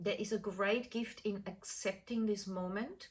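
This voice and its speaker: A woman's plain, everyday voice, fairly high in pitch, at a fairly slow pace. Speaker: chakra healing teacher. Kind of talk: talk to course participants.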